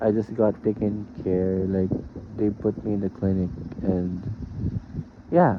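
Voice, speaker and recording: The speaker has a Filipino accent. The pace is fairly slow. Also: man. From Philippines. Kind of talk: boyfriend roleplay audio. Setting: fan noise in background. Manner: nervous, casual, affectionate.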